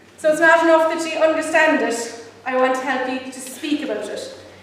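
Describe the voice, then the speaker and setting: A voice with an Irish accent and fairly even intonation comes through audible room echo and noticeable background noise. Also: woman. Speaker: pro-life campaigner. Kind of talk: public talk. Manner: fast.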